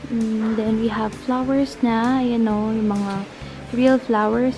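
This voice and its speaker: A woman at a very slow pace, fairly even in intonation, over clear music in the background. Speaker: vlogger. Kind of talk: casual vlog chat.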